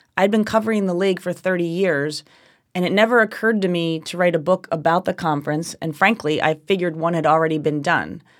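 This woman talks at a fairly quick pace with few pauses, using a fairly low pitch and ordinary pitch variation in a New Jersey accent, on a very clean recording with a silent background. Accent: New Jersey American.

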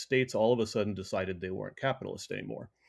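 Fairly low-pitched man with an American accent and fairly even intonation. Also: quiet background. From US, Colorado (teen years in Colorado Springs). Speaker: essayist and writer. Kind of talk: interview conversation. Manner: halting, frequent repetitions and fillers.

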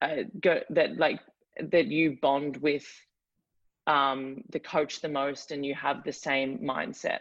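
A woman speaks with a strong Australian accent. Her pitch is very deep and low. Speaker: college athlete. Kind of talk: interview. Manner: hesitant, many fillers.

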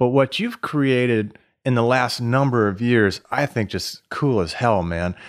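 A man speaks at a fairly slow pace and medium pitch with ordinary pitch variation. It is a normal speaking voice against a quiet background. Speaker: podcast co-host. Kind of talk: casual podcast chat.

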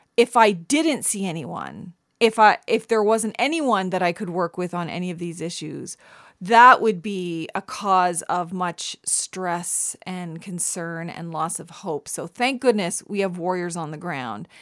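In a very clean recording with a silent background and a dry, close sound with no echo, a woman speaks in an animated tone at medium pitch, with ordinary pitch variation and big swings in loudness. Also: fairly slow pace. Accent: Canadian. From Canada. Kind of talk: interview.

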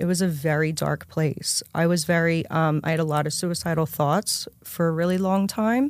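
With an American accent, a woman speaks in a normal speaking voice, fairly low-pitched, at a moderate pace with hardly any pauses. Her intonation is fairly even and her loudness very even. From Pennsylvania, Philadelphia area. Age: 30s. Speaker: addiction recovery speaker. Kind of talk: testimony.

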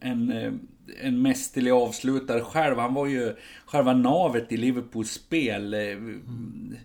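This man's voice sits at a medium pitch. His intonation stays flat and monotone. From Sweden. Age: 50s. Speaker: football supporters club editor. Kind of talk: casual chat.

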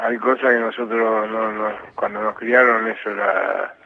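Against noticeable background noise, a man talks at a fairly slow pace in a medium pitch. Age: 70s. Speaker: retired football goalkeeper. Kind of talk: casual interview.

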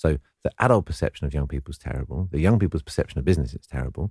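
Over a very clean recording with a silent background, a man with a very deep, low pitch and a dark, mellow tone speaks at a very fast pace with vocal fry, the sound dry and close with no echo. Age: 40s. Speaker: author and entrepreneur. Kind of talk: interview.

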